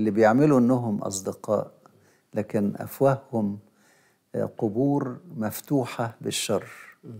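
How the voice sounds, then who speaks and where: A man with an Egyptian accent talks at a fairly slow pace, leaving long, frequent pauses, his tone dark and mellow and his intonation fairly even. His loudness swings widely against a quiet background. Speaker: bishop and liturgy professor; bishop, liturgy professor. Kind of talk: religious teaching talk show. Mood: calm, explanatory. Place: studio.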